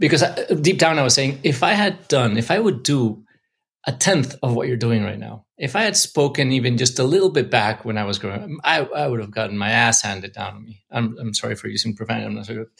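Vocal fry at a very fast pace, with big swings in loudness, on a very clean recording with a silent background. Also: man, medium pitch for a man. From Mexico City. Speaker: investor and entrepreneur. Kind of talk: interview.

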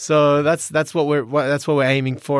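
An Australian accent comes from a man with a fairly high pitch. The recording is very clean, with a silent background. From Sydney, Australia. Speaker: professional footballer. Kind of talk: interview.

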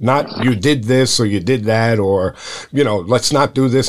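Here a man has an unremarkable speaking voice at medium pitch, with ordinary pitch variation. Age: 60s. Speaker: high school baseball coach and podcast host. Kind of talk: casual interview.

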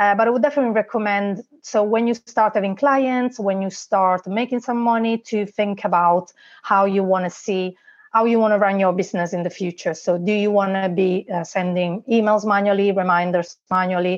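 The speaker has an Italian accent. The intonation is fairly even. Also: woman, medium pitch for a woman, moderate pace. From Italy. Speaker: online business manager. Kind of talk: interview.

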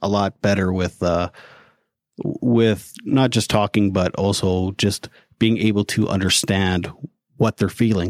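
Fairly even in intonation and moderate in pace, the speaker has a Canadian prairie accent, recorded with a dry, close sound and no echo. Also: man. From Canada. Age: 40s. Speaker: mental health advocate and podcaster. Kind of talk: casual interview. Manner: hesitant, repeats words.

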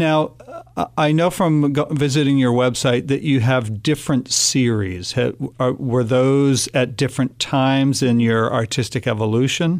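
A man's normal speaking voice at medium pitch, with ordinary pitch variation, very even loudness and a moderate pace. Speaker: arts agency director, podcast host. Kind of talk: interview. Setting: studio.

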